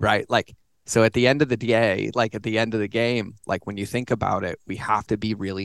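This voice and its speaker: At a fairly quick pace, a man with a medium pitch and fairly even intonation speaks in an unremarkable speaking voice, the sound dry and close with no echo against a quiet background. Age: 40s. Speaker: author and digital marketing consultant. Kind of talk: casual chat. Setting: home office studio.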